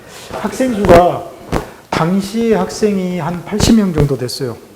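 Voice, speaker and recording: A man speaks with lively intonation. Noticeable background noise sits under his voice. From South Korea, Sinan, South Jeolla. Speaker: museum director, former Korean teacher. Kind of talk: interview.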